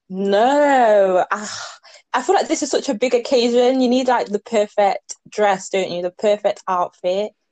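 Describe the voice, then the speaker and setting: A woman's fairly high voice with an English accent, lively intonation, a fairly slow pace and a dry, close sound with no echo. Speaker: podcast co-host. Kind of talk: casual chat.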